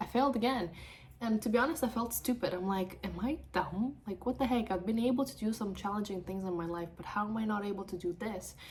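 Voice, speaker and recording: A woman with an animated tone talks very fast with ordinary pitch variation over noticeable background noise. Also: medium pitch for a woman. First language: not English; English is third language. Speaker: mortgage broker. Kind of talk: personal vlog.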